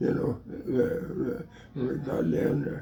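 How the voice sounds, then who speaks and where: Noticeable background noise surrounds a man speaking with an American accent. He talks at a very slow pace. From Illinois. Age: 80s+. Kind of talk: casual storytelling. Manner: hesitant, repetitive.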